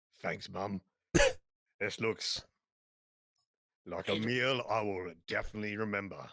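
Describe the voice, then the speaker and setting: A man's put-on character voice, fairly low in pitch, at a moderate pace with long, frequent pauses. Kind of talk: casual tabletop role-play.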